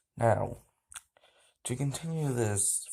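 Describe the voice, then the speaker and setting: Somewhat breathy and dark, mellow in tone, a man speaks at a very slow pace with lively intonation. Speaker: reaction video creator. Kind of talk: reading aloud. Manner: halting with gaps and breathers.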